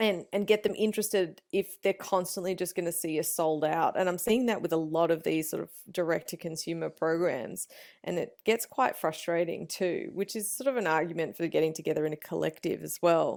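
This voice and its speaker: A woman talks at a fairly quick pace with an Australian accent and a fairly low pitch. The recording is very clean, with a silent background. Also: ordinary pitch variation. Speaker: meat smoking and BBQ expert. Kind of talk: podcast interview answer. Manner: casual, conversational.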